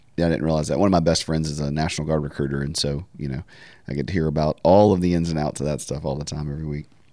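A man with a Southern US accent speaks very fast in a very deep, low pitch with fairly even intonation. His tone is dark and mellow. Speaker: podcast host. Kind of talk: casual interview.

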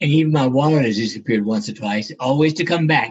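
A man talks at a fairly quick pace with an American accent. His voice is somewhat breathy, with ordinary pitch variation. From US South, South Carolina. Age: 80s+. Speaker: neurosurgeon and author. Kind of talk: interview, storytelling. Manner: halting, repeats words.

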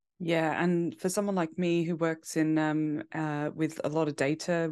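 Speaking with a British accent at a moderate pace, a woman uses a very deep, low pitch and monotone, flat intonation over a quiet background. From UK. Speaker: fantasy football content creator. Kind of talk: podcast interview.

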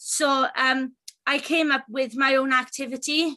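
A woman's raised, projected voice with a Welsh accent, high in pitch and bright and sharp in tone, at a fairly slow pace over a quiet background. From Wales. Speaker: self-advocacy group chair. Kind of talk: interview.

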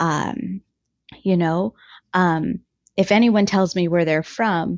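This woman has an ordinary speaking voice, pitched in the medium range with ordinary pitch variation. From Ottawa, Canada. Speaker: guest sharing her life story.

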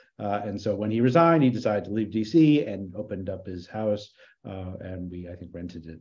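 With big swings in loudness, a man talks at a fairly quick pace in a normal speaking voice pitched fairly low. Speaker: history lecturer and podcast co-host. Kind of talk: casual chat.

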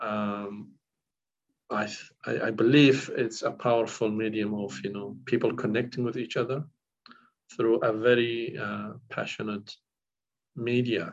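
A man with a Kurdish accent at a fairly slow pace, with long, frequent pauses. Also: medium pitch for a man, ordinary pitch variation. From northern Iraq (Kurdish village near Syria-Turkey border). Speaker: counsellor. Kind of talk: interview. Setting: recorded interview. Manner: halting, many fillers.

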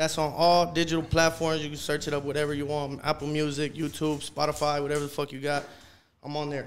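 Talking at a very fast pace with an American accent, a man keeps a fairly high pitch and monotone, flat intonation. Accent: Los Angeles urban English. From South Central Los Angeles. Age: 20s. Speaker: rapper. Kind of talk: casual chat.

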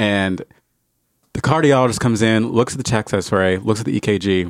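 Recorded dry and close with no echo, a man has an ordinary speaking voice at a medium pitch with ordinary pitch variation. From New Jersey, then Indiana from age twelve. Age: 30s. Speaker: podcast guest sharing life story. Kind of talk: personal testimony.

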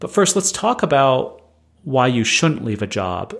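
A man with a normal speaking voice talks at a medium pitch and moderate pace with lively intonation, in a very clean recording with a silent background. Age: 30s. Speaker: podcast host, former tech marketing manager. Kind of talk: solo podcast monologue.

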